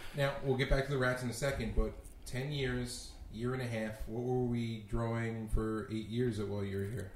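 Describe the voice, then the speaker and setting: A somewhat breathy man talks at medium pitch and a moderate pace, his intonation fairly even. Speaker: podcast co-host. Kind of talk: casual podcast chat.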